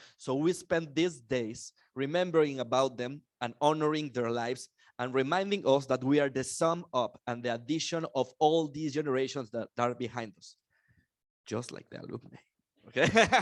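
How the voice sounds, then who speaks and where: In a quiet background, a man with a Mexican accent speaks at a moderate pace in an animated tone, his fairly high pitch showing ordinary variation. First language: Spanish. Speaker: conference emcee. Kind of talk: conference opening speech.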